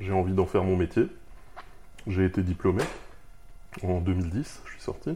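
Speech comes at a moderate pace with long, frequent pauses. The voice is somewhat breathy, dark and mellow in tone, with fairly even intonation. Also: man. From Alsace, France (Haguenau). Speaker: freelance iOS developer. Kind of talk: interview. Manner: halting, frequent repetitions.

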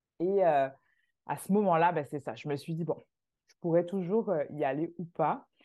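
A woman talks at a fairly slow pace with a fairly low pitch and ordinary pitch variation. It is an unremarkable speaking voice. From Martinique. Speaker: immigration agency founder. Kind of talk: casual interview.

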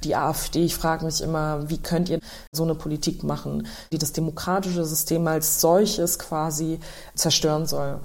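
The woman's pitch is very deep and low, her intonation monotone and flat. She keeps a moderate pace, and room echo is audible. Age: 20s. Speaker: politician. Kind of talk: interview answers.

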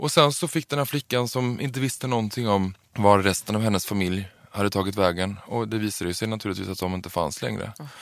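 A man with an ordinary speaking voice, fairly low in pitch, talks with ordinary pitch variation and hardly any pauses. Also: fairly quick pace. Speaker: drag performer and trainee librarian. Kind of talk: casual interview.

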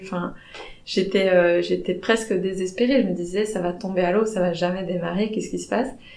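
Woman speaking at a moderate pace with fairly even intonation, amid noticeable background noise and audible room echo. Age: 30s. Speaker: anthropologist, recent PhD graduate. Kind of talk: interview. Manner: halting, many hesitations.

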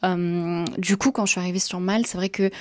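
Her tone is dark and mellow, with a medium pitch and monotone, flat intonation. The woman talks fairly quickly in a dry, close sound with no echo. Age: 20s. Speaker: entrepreneur sharing expat story. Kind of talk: recorded voice message testimony.

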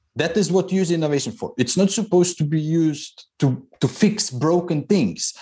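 A man with a Croatian accent, high-pitched with a dark, mellow tone, at a moderate pace. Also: ordinary pitch variation. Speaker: engineer and innovation consultant. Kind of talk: interview.

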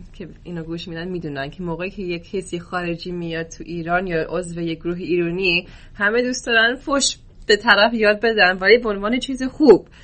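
In an American accent, a woman speaks at a fairly quick pace and medium pitch, with ordinary pitch variation and big swings in loudness. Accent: American-accented Persian. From US, Oklahoma. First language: English (speaking Persian). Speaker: football coach. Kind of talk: podcast interview. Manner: hesitant with fillers.

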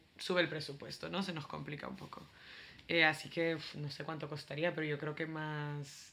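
A woman's very deep, low voice with a bright, sharp tone, monotone, flat intonation, a moderate pace, and big swings in loudness. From El Salvador. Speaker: startup worker in refugee integration. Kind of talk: casual chat.

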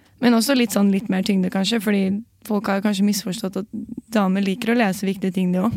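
This woman talks at a very fast pace in a medium-pitched voice with flat, monotone intonation. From Oslo, Norway. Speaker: comedian and journalist. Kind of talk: casual chat.

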